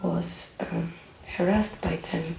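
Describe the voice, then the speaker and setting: A soft-spoken woman at a very slow pace, with noticeable background noise. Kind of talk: soft-spoken ASMR talk to camera; casual movie chat, personal opinions about a film.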